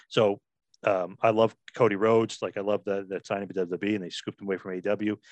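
A man with a New Jersey accent talks at a very fast pace, fairly low in pitch and monotone and flat, in a dry, close sound with no echo against a quiet background. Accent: New Jersey American. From New Jersey, US. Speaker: wrestling podcaster. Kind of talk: casual interview chat.

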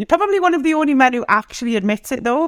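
A woman with a Geordie accent talks very fast with very wide pitch swings, in a dry, close sound with no echo. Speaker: host's wife. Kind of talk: casual chat.

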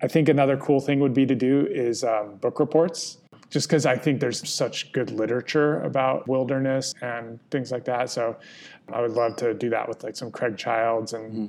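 At a moderate pace, a man talks in an unremarkable speaking voice with a medium pitch and fairly even intonation. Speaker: podcast co-host. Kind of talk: casual chat. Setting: outdoors.

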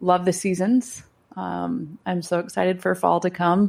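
A woman with a Midwestern accent and fairly low pitch at a moderate pace, on a very clean recording with a silent background. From US Midwest, Chicago area. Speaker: pastor. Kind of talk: casual chat.

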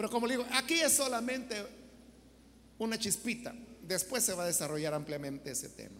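The speech moves at a fairly quick pace, broken by long, frequent pauses. Background noise is noticeable. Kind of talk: sermon.

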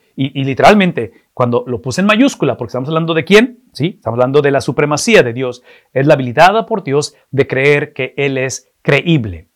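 A man's normal speaking voice, fairly high in pitch, at a moderate pace with lively intonation and hardly any pauses. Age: 50s. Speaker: pastor. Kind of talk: sermon.

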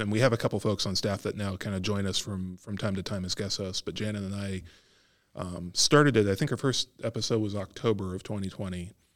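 With an American accent, a man talks at a fairly quick pace in a fairly low pitch and fairly even intonation, on a very clean recording with a silent background. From Arizona. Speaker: local government podcast co-host. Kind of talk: casual chat.

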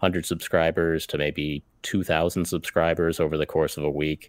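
In a very deep, low voice, a man with an American accent speaks at a moderate pace with monotone, flat intonation, on a very clean recording with a silent background and a dry, close sound with no echo. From United States. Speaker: YouTuber and miniature painter. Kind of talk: casual chat. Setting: livestream with chat.

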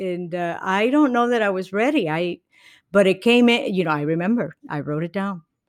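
With a Spanish accent, a woman speaks at a medium pitch and a moderate pace, her pitch swinging very widely. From Puerto Rico. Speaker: comedian and former engineer. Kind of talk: interview.

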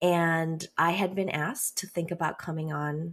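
A woman speaks at a fairly slow pace in a somewhat breathy, fairly low voice. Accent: General American. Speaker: writer and speaker. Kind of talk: interview. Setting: studio.

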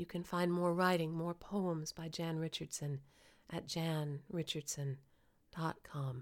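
Hers is a plain, everyday voice, fairly low in pitch, moving at a fairly slow pace with fairly even intonation. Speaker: podcast host and intuitive. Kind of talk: poetry reading, a blessing read aloud. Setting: home recording at a mic. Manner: slow, soothing, and reverent, with gentle pauses; warm and tender.

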